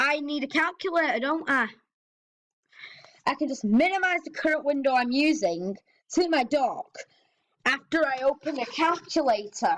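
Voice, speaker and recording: Lively intonation marks this woman's high-pitched voice. She keeps a moderate pace with long, frequent pauses. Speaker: tech YouTuber demonstrating old operating systems. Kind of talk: screen-recorded tutorial with commentary. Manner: casual, slightly halting.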